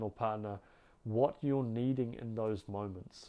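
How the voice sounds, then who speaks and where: This is a man speaking. He has a New Zealand accent. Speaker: relationship coach. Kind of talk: advice monologue to camera. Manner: warm, earnest.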